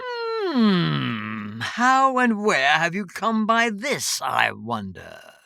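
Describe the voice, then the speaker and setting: The pace here is very slow. The voice is a put-on character voice. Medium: read story. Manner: cryptic, oddly formal.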